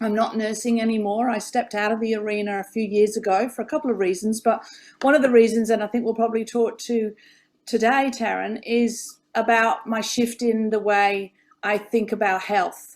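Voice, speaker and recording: A woman with an English accent at a moderate pace, in a very clean recording with a silent background. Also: fairly high pitch for a woman. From England. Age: 50s. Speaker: former nurse, health coach. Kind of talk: interview conversation. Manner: animated.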